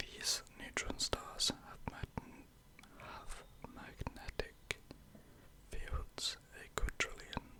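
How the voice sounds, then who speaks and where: A whispered voice comes through over noticeable background noise. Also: man. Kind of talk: ASMR whispered fact narration. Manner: whispered, slow, calming.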